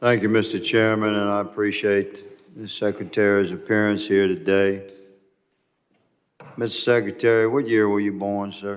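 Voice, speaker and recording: Fairly low in pitch, a man talks at a moderate pace with monotone, flat intonation. Audible room echo surrounds his voice. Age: 60s. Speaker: congressman. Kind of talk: congressional hearing questioning. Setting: congressional hearing room. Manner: formal.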